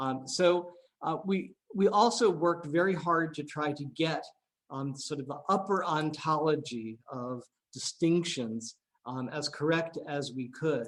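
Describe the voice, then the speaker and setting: In a plain, everyday voice, a man speaks at a fairly slow pace and a fairly high pitch with ordinary pitch variation. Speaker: AI researcher. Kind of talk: seminar talk. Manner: many filler words.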